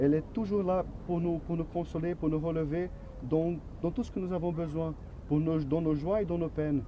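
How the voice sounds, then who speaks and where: Fairly even intonation and a moderate pace mark this voice with a Portuguese accent. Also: man. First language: Portuguese (speaking French). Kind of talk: religious teaching in a staged Q&A. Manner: halting, with repeated words.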